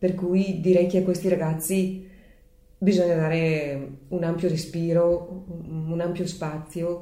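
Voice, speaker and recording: The voice has a dark, mellow tone and monotone, flat intonation. Audible room echo surrounds it. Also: woman. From Leffe, Bergamo province, northern Italy. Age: 60s. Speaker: bell-ringer's daughter, local enthusiast. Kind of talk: interview.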